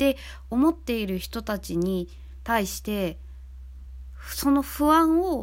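Long pauses come often in this woman's speech. She talks very slowly. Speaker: band vocalist and podcast host. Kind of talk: casual talk, serious in tone.

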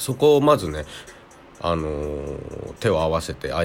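In a calm tone, a man speaks at a moderate pace with lively intonation. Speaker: podcast host. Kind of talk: solo monologue.

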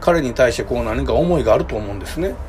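A man with a Kansai accent at a fairly quick pace, over noticeable background noise. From Kobe, Japan. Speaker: podcaster. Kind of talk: casual solo talk. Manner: hesitant, many fillers.

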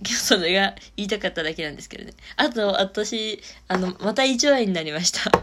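A woman at a medium pitch with lively intonation, a fairly quick pace, big swings in loudness and noticeable background noise. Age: 20s. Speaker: solo podcaster. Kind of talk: casual monologue.

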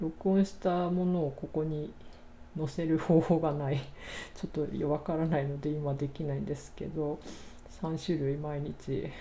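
Calm and somewhat breathy, a woman's very deep, low voice carries a dark, mellow tone, fairly even intonation and a fairly slow pace. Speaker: podcaster, English learner. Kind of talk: solo talk.

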